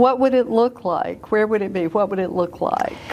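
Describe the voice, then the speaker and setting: A woman's fairly high voice, with ordinary pitch variation, comes through over noticeable background noise. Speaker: real estate agent. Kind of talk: interview questions.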